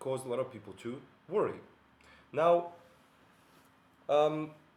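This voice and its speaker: A man with a Bosnian accent talks at a moderate pace, taking long, frequent pauses, his loudness swinging widely. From Bosnia and Herzegovina. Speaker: philosopher and video essayist. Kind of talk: monologue video essay. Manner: hesitant, many fillers.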